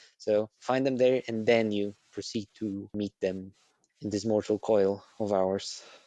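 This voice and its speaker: With a Polish accent, a man speaks fairly slowly at a medium pitch in a dark, mellow tone, with ordinary pitch variation and a dry, close sound with no echo. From Poland. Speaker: podcast guest. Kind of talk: casual chat. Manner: soft-spoken; crisp enunciation.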